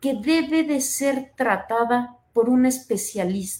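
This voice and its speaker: Her pitch high and her intonation lively, a woman speaks at a very slow pace. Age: 30s. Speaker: psychologist. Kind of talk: interview. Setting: live broadcast.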